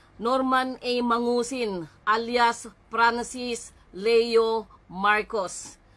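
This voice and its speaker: A woman with a fairly high pitch talks in a bright, sharp tone. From Philippines. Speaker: vlogger. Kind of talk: live stream monologue. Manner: halting, many fillers; polite, formal. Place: home room. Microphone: phone near.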